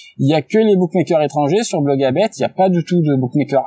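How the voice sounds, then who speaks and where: A man's fairly high voice, dry and close with no echo, over noticeable background noise. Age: 30s. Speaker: sports betting tipster. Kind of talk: casual interview.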